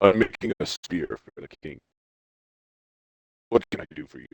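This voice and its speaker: Putting on a character voice, a man speaks at a moderate pace with big swings in loudness. The sound is dry and close, with no echo. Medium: actual play. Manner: blunt, gruff.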